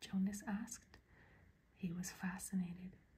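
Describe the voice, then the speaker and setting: Soft-spoken, the voice moves along at a moderate pace. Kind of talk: ASMR book reading. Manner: soft-spoken, quiet.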